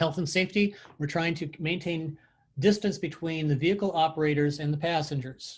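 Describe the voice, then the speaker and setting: A man speaks with a fairly high pitch and a somewhat breathy quality. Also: quiet background. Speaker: transit technical assistance presenter. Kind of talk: webinar presentation. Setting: video call. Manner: fast.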